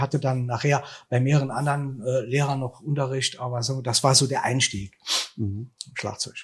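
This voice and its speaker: Somewhat breathy and medium in pitch, a man speaks at a moderate pace with monotone, flat intonation. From Germany, Saarland (Saarbrücken). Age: 60s. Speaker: musician and event manager. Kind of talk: interview.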